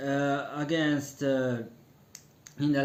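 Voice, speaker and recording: A man with a non-native accent speaks at medium pitch in a monotone, flat intonation. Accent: non-native English speaker. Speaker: wrestling commentator. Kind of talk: casual online radio-style commentary. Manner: hesitant, many fillers.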